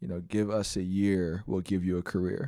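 In a very clean recording with a silent background, a man with an American accent speaks at a moderate pace, his very deep, low voice dark and mellow in tone and his intonation fairly even. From San Francisco, US. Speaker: school board president and nonprofit CEO. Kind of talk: interview.

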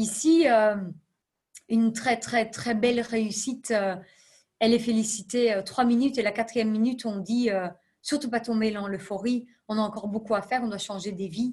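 Over a quiet background, a woman with a fairly high pitch and somewhat breathy voice speaks at a moderate pace with fairly even intonation and long, frequent pauses. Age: 30s. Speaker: non-profit executive. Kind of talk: interview.

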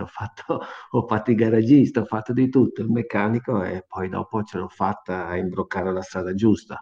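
Fairly even intonation runs through a man's speech. His pitch stays in the medium range. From Tramonti, Amalfi Coast, Campania, southern Italy. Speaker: racing driver and test driver. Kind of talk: radio interview.

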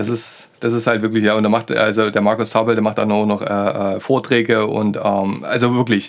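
In a Saxon accent, a man speaks at a moderate pace with hardly any pauses, his fairly low pitch held in a monotone, flat intonation. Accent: Saxon, with a lisp-like TH. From Saxony. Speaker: podcast co-host. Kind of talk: casual chat. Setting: studio.

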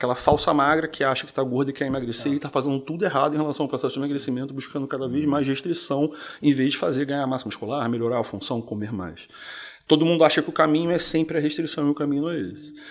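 Very fast in pace, a man speaks at a fairly high pitch with ordinary pitch variation. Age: 40s. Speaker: physician. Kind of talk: casual interview. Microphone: too far from the mic.

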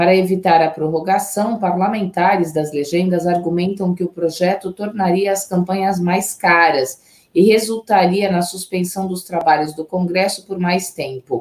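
This woman has an unremarkable speaking voice at a medium pitch. She keeps a moderate pace and fairly even intonation, with hardly any pauses. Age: 40s. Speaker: journalist, news co-anchor. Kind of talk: news reading.

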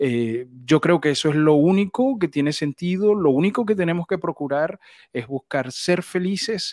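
The speech moves at a moderate pace with lively intonation. The recording is very clean, with a silent background and a dry, close sound with no echo. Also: man. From Venezuela. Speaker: voice actor and announcer. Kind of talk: interview. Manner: halting, repeats words.

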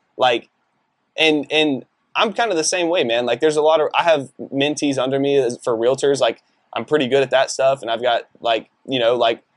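A man with an American accent and an ordinary speaking voice, fairly high in pitch, at a moderate pace with ordinary pitch variation. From Texas, Decatur. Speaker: realtor. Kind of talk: casual interview chat.

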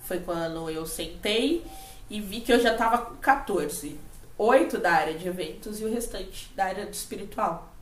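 Lively intonation at a moderate pace, with big swings in loudness. There is audible room echo and noticeable background noise. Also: woman. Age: 30s. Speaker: podcast co-host, spiritual and emotional coach. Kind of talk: casual chat. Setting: at home.

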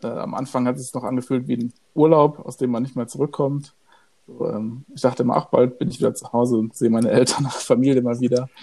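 A man with a medium pitch and a dark, mellow tone speaks at a fairly quick pace. His intonation stays fairly even. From Germany. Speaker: podcast co-host. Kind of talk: casual chat.

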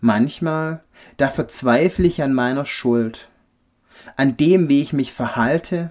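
Speaking at a very slow pace, a man keeps a medium pitch. His pitch variation is ordinary. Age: 30s. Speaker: refrigeration technician, church member. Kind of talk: personal faith testimony.

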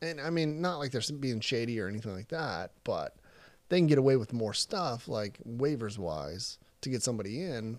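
With an American accent, a man speaks at a moderate pace and medium pitch, his pitch swinging very widely in a very clean recording with a silent background. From Texas (Crandall, near Dallas). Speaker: military recruiter. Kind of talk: casual chat.

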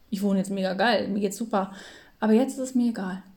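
The speech moves at a very fast pace with fairly even intonation. The tone is dark and mellow, and somewhat breathy. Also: woman. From northern Germany, near Hamburg. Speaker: podcast co-host. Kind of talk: casual chat. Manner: filler-heavy, many ähm.

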